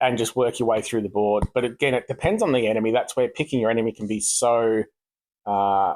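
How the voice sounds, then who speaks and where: This man speaks at a fairly quick pace in a medium pitch. The sound is dry and close with no echo, and his intonation stays fairly even. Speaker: gaming YouTuber. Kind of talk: gameplay commentary. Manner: rushed; hesitant, many fillers.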